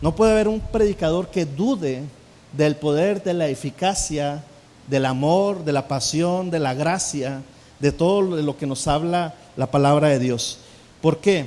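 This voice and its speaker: Fairly slow speech comes from a man. His pitch is fairly high, with ordinary variation. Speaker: pastor teaching preaching. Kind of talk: sermon-style lecture on preaching. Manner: hesitant, many fillers.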